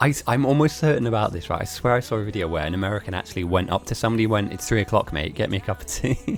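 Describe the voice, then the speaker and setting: Music plays in the background as a man talks at a very fast pace in an English accent. His pitch swings very widely. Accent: sounds fully English. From Germany and Italy. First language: Italian or German. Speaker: game streamer and commentator. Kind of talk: live game commentary with chat.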